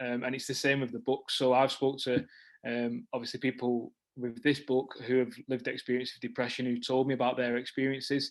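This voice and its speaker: This man talks fairly quickly in a flat, monotone delivery. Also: medium pitch for a man. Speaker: author and former teacher, training company founder. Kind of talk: interview on video call meeting. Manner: fast, many fillers and restarts.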